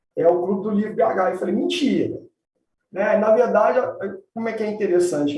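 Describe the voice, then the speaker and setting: In a Minas Gerais accent, a man talks at a fairly quick pace with a high pitch and ordinary pitch variation, with audible room echo. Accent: Minas Gerais (mineiro). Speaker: environmental law professor and lawyer. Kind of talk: live-stream interview.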